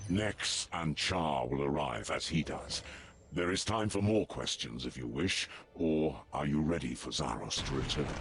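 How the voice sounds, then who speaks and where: Over clear background noise, someone performs a put-on character voice at a moderate pace. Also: man, very deep, low pitch for a man. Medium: video game. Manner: reverent, intense.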